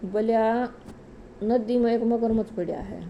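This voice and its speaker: Dark, mellow tone from a woman with a Haryana accent. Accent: Haryanvi. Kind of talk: religious folk story telling. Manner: casual storytelling.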